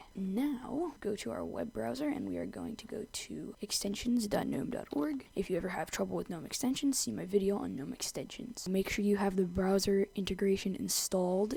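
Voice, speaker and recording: Speaking at a moderate pace with hardly any pauses, a woman has a medium pitch, a dark, mellow tone, very wide pitch swings and vocal fry. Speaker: tech tutorial creator. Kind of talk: screen-recorded software tutorial narration. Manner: casual.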